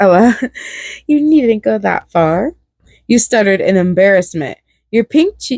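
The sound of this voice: An unforced reading voice carries lively intonation against a quiet background.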